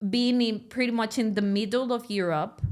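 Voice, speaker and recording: A woman with a fairly high voice talks at a moderate pace, her intonation fairly even. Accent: Spanish. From Mexico, Monterrey. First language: Spanish. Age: 30s. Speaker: podcast host. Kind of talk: interview. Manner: casual, chatty.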